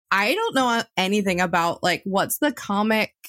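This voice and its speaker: A woman talks at a moderate pace with ordinary pitch variation in an unremarkable speaking voice. The sound is dry and close, with no echo. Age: 30s. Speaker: podcast host. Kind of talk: interview.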